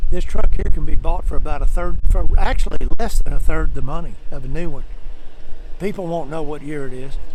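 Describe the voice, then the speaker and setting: Over noticeable background noise, a man with a Southern US accent talks at a fairly quick pace. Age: 70s. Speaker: truck dealer. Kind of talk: sales pitch. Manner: folksy, casual.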